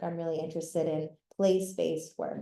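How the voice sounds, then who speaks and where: A woman's dark, mellow tone with an American accent, fairly even intonation and a moderate pace. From Florida. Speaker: environmental advocate. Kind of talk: lecture. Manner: loud.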